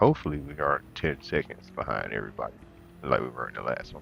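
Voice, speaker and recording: A soft-spoken man mumbling at a very fast pace. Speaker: sim racing streamer. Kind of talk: live gameplay commentary.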